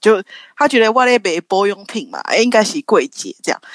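A woman uses a normal speaking voice at a medium pitch and a fairly quick pace. The recording is very clean with a silent background and a dry, close sound with no echo. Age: 30s. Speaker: marketer for a skincare brand. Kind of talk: casual interview chat.

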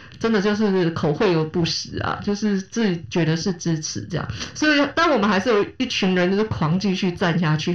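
Over noticeable background noise, a woman at medium pitch speaks at a fairly quick pace with lively intonation, hardly any pauses and very even loudness. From Taiwan, Kaohsiung. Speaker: podcast host. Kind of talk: casual chat.

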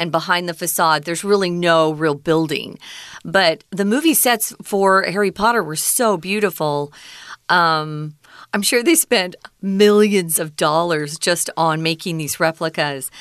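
In an American accent, the speaker has a plain, everyday voice with ordinary pitch variation. The pace is fairly slow, over a quiet background. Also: woman, fairly low pitch for a woman. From United States. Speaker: English teaching radio co-host. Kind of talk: language lesson discussion.

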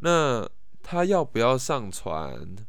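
A man talks with vocal fry, and audible room echo surrounds his voice. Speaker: podcast host. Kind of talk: casual monologue. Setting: at home in his room. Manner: halting, many repetitions and fillers.

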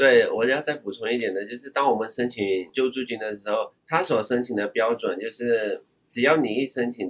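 A man with a plain, everyday voice talks at a moderate pace and medium pitch, with ordinary pitch variation and hardly any pauses. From Myanmar. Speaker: overseas Chinese university student. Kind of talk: casual interview chat.

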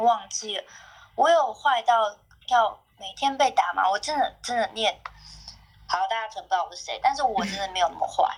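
Fairly high female speech at a moderate pace, its pitch swinging very widely. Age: 30s. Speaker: podcast guest sharing family story. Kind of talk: casual chat, personal storytelling.

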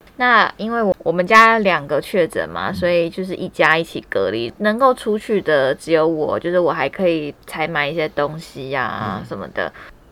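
The woman's fairly low voice has very wide pitch swings and hardly any pauses. Noticeable background noise runs underneath. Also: moderate pace. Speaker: podcast host. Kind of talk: casual chat. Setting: small room at home, masked.

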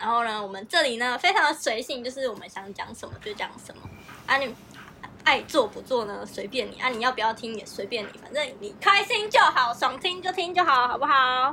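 A woman's high voice with very wide pitch swings and big swings in loudness, at a fairly quick pace over noticeable background noise. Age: 20s. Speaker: advertising office worker, podcast co-host. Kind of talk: casual chat.

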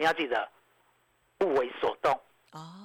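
A man's animated voice at a moderate pace. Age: 50s. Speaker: stock market analyst. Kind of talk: radio market commentary.

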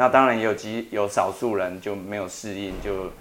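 A man's fairly low voice holds a monotone, flat intonation at a moderate pace. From Taiwan, Taitung. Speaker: atmospheric science professor. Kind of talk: interview about his translated book.

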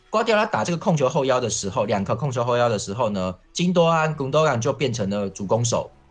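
Somewhat breathy man at a medium pitch, very wide pitch swings, hardly any pauses. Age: 40s. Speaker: football columnist. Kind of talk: casual chat.

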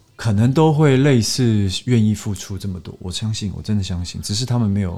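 Fairly low in pitch, a man speaks with a dark, mellow tone. His pace is fairly quick and his pitch varies in an ordinary way. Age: 30s. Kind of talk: casual chat.

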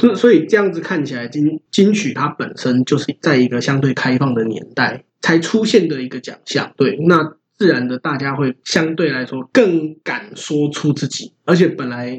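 A man with a Taiwanese accent speaks at a moderate pace with lively intonation and hardly any pauses. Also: fairly high pitch for a man. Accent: Taiwanese Mandarin. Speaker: podcast co-host, hip-hop fan. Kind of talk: casual chat.

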